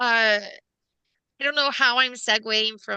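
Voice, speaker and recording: A woman speaks at a fairly slow pace in a raised, projected voice. Her tone is bright and sharp. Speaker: podcast host. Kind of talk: casual chat. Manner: halting.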